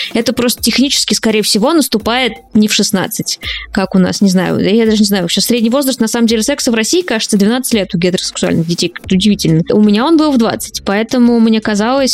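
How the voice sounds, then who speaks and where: Against noticeable background noise, a woman talks at a fairly high pitch with ordinary pitch variation. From Russia, small town by an unfinished nuclear plant. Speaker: journalist and podcaster. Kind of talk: interview.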